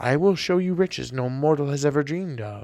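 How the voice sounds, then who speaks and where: Using a put-on character voice, a man talks at a fairly quick pace with a fairly high pitch. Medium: read story. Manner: solemn, stately.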